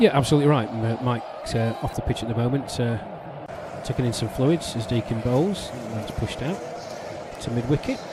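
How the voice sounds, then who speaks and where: A man with an English accent at a fairly quick pace, ordinary pitch variation, and noticeable background noise. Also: medium pitch for a man. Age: 50s. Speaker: cricket commentator. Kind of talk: live commentary.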